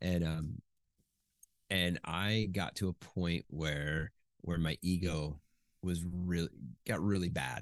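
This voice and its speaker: Speaking at a very slow pace, a man uses a very deep, low pitch with fairly even intonation and very even loudness, the sound dry and close with no echo. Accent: American. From US Midwest, Chicago suburbs. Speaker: Navy veteran and ghostwriter. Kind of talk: interview, casual chat.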